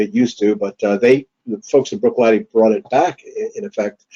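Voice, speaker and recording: Here a man talks with a New York accent at a fairly quick pace. His tone is dark and mellow. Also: dry, close sound with no echo. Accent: New York American. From US, New York City. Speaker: whisky distillery founder. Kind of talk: webinar talk. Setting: online webinar. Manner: halting, many fillers.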